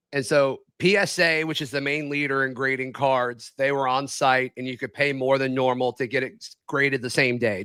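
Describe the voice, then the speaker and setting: At a fairly quick pace with hardly any pauses, a man speaks in a bright, sharp tone of medium pitch with fairly even intonation. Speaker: sports podcast co-host. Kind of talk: casual chat.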